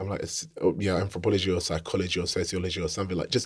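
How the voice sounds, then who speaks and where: A man's very deep, low, somewhat breathy voice with a South London accent, in a very clean recording with a silent background. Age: 30s. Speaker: film director and screenwriter. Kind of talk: casual interview chat.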